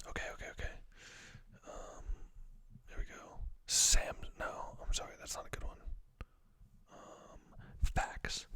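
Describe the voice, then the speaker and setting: A man whispers at a moderate pace. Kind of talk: ASMR whisper random facts ramble to camera. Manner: whispered, casual, rambling.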